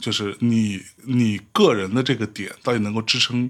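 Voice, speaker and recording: A man speaks at a medium pitch with a northeastern Chinese accent, at a fairly slow pace and with fairly even intonation. The recording is very clean, with a silent background. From Northeast China. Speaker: podcast host. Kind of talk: casual chat. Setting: studio.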